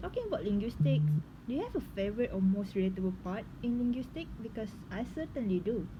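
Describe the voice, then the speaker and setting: Somewhat breathy, a woman with a Malaysian accent talks at a fairly quick pace and medium pitch. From Malaysia, Penang. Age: young. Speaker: linguistics student. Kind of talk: scripted dialogue for class assignment.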